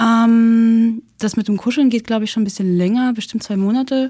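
A woman's somewhat breathy voice has a dark, mellow tone and fairly even intonation. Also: very clean recording, silent background. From Russia. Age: 20s. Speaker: architecture student. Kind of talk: casual chat. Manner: hesitant, many fillers.

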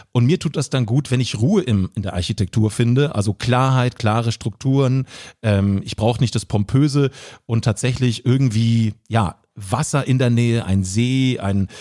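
A man speaks at a medium pitch and moderate pace in a dark, mellow tone with ordinary pitch variation. The very clean recording has a silent background and a dry, close sound with no echo. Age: 30s. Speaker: social media entertainer and producer. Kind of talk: casual chat.

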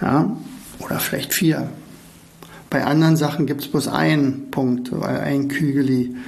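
A man's fairly high voice at a fairly slow pace, with fairly even intonation, long frequent pauses, audible room echo and noticeable background noise. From East Germany. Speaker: podcast host, learning coach. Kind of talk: casual monologue. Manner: halting.

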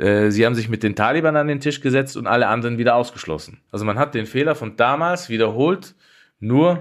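This man talks at a fairly quick pace in a normal speaking voice, medium in pitch. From Austria, Tyrol (Innsbruck). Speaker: journalist and war reporter. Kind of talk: conversational podcast discussion.

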